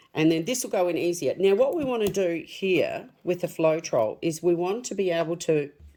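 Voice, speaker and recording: A woman with a plain, everyday voice at medium pitch and moderate pace, ordinary pitch variation and hardly any pauses. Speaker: craft tutorial creator. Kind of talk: tutorial. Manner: casual, chatty.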